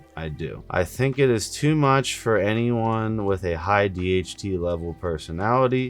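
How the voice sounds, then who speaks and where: Music plays behind a man whose fairly low voice runs with hardly any pauses and lively intonation. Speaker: fitness vlogger. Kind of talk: personal experience vlog. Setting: on camera. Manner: slow; halting.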